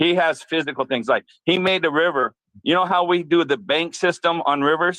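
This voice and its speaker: The man's pitch is high and his loudness very even. His intonation stays fairly even. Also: moderate pace. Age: 60s. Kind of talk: casual chat.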